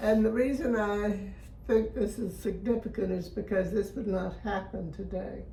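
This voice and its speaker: A woman speaks with fairly even intonation. Noticeable background noise and audible room echo surround her voice. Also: medium pitch for a woman, moderate pace. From Florida, US. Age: 90s. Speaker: interviewee sharing life memories. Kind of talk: interview, personal reminiscence.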